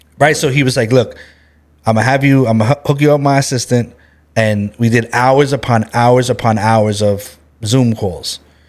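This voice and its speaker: A man talks at a moderate pace in a medium-pitched voice. His loudness stays very even. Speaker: branding expert and entrepreneur, co-author. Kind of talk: casual podcast interview. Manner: animated, passionate.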